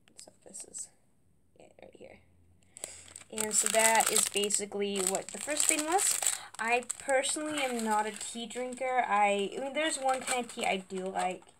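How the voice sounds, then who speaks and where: Against noticeable background noise, a woman talks at a moderate pace with a fairly high pitch. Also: big swings in loudness. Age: 20s. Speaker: YouTuber doing product unboxing. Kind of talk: casual unboxing vlog. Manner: halting, many fillers. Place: home room. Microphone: webcam.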